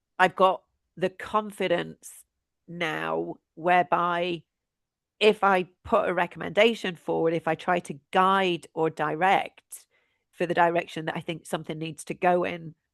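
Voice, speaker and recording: A woman speaks fairly slowly in a fairly low pitch, with vocal fry and a monotone, flat intonation. The background is quiet. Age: 50s. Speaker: tech programme leader. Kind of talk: podcast interview. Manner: hesitant, with false starts.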